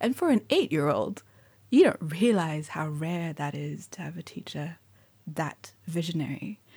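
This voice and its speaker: In a very clean recording with a silent background, a woman with a fairly low pitch and a dark, mellow, somewhat breathy tone speaks at a fairly slow pace, with ordinary pitch variation and big swings in loudness. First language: Mandarin. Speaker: poet and writer. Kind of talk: interview. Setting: bookshop.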